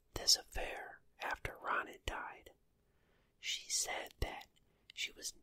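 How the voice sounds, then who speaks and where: Someone whispers at a very slow pace. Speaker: ASMR true crime storyteller. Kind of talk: ASMR true crime storytelling. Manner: whispered, soft.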